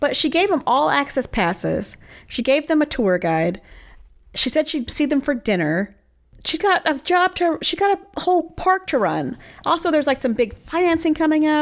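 Recorded very cleanly with a silent background, a woman with a high pitch talks at a moderate pace, her pitch swinging very widely while her loudness stays very even. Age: 30s. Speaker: podcast co-host. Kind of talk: casual chat.

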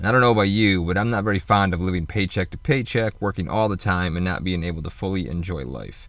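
Speaking at a very fast pace with a Midwestern American accent, a man with a very deep, low pitch, vocal fry and ordinary pitch variation is captured in a very clean recording with a silent background. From Michigan, US Midwest. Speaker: podcaster and van-life vlogger. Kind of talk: casual solo monologue.

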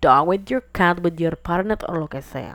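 Vocal fry runs through a woman's fairly low-pitched speech. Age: 20s. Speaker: podcast host. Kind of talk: casual monologue. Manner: casual, code-switching with English.

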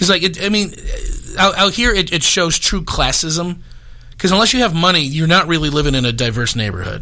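Over noticeable background noise, a man talks at a fairly quick pace. His voice is high-pitched, with lively intonation. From Chicago suburbs, Illinois. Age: 30s. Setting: studio.

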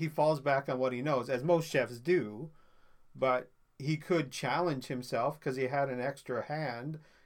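Fairly slow and fairly high-pitched, a man with an unremarkable speaking voice keeps his intonation fairly even. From Newfoundland, Canada. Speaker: food podcaster. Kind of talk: casual chat.

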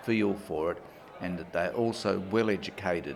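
Over noticeable background noise, a man with an Australian accent speaks at a moderate pace in a fairly low voice with ordinary pitch variation. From rural Western Australia. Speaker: retired judge and family law mediator. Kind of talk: interview. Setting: conference.

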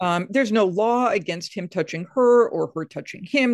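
A woman's plain, everyday voice with an American accent, lively intonation and a fairly quick pace. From Massachusetts Atlantic coast. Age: 60s. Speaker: biblical scholar and author. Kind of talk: interview.

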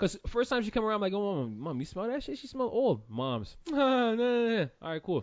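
The speaker moves at a fairly quick pace with hardly any pauses. Their pitch swings very widely. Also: man, high pitch for a man. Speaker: podcast co-host. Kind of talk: casual chat.

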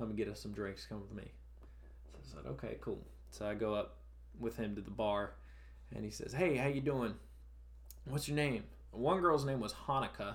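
A man at a moderate pace, with long, frequent pauses and audible room echo. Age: 20s. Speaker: touring worker and former stand-up comedian. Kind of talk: casual chat.

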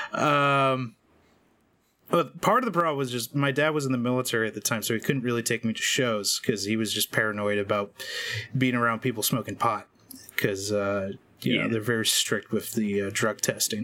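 A man with an unremarkable speaking voice talks at a fairly quick pace, with a medium pitch and ordinary pitch variation. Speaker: podcast host. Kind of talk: casual chat about metal.

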